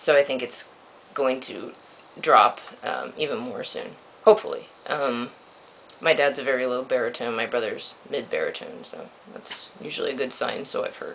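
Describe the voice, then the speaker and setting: A man's loudness swings widely as he talks at a moderate speed, with noticeable noise in the background. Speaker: vlogger. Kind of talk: video diary. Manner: hesitant, many ums.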